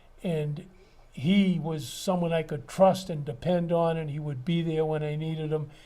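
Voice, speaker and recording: Fairly high-pitched man with a dark, mellow tone, fairly even intonation and a moderate pace, in audible room echo. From Massachusetts, Wellesley. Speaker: retired builder and architect. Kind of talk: oral history interview. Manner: halting.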